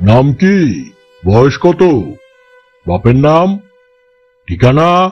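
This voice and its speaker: A man speaks in a put-on character voice with a fairly high pitch. His pitch swings very widely. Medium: audio drama. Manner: curt, irritable.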